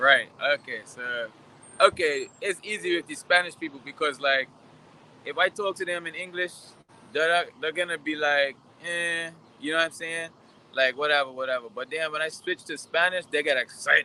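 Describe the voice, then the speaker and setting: A man's fairly high voice, bright and sharp in tone and animated, with ordinary pitch variation at a moderate pace, broken by long, frequent pauses. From Bermuda, raised partly in Dominican Republic. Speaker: interviewee. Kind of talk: interview. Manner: casual, animated storytelling.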